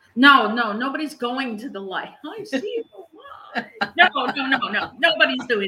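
A woman with a high pitch uses a raised, projected voice, her pitch swinging very widely and her loudness rising and falling sharply. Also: moderate pace. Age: 60s. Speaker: grief coach and podcast host. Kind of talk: casual chat. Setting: live recording.

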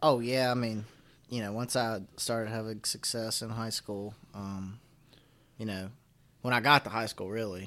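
Speaking at a fairly quick pace in a Southern Appalachian accent, a man with a medium-pitched voice keeps his intonation fairly even, captured on a very clean recording against a silent background. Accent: Southern Appalachian, slight to moderate. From Floyd, Virginia, Appalachia. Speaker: college wrestler and outdoors content creator. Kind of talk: casual interview conversation.

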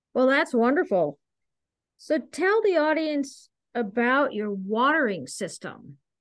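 A woman talks very slowly in a high voice that makes very wide pitch swings. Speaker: podcast host and horticulture specialist. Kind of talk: interview.

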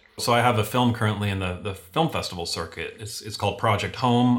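Fairly even intonation in an American accent. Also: man. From Venezuela (Caracas), then various US cities. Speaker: video production agency owner. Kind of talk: casual interview chat. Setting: video call.

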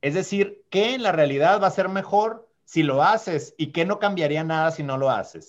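A man speaks with a high pitch. He uses hardly any pauses. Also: ordinary pitch variation, moderate pace. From Sonora, Mexico (small mountain town). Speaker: diplomat. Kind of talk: podcast interview.

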